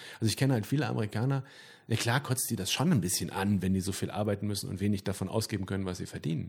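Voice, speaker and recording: A somewhat breathy man talks at a very fast pace, his fairly low pitch showing ordinary variation. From Sauerland, Germany. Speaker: band singer. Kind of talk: casual interview chat.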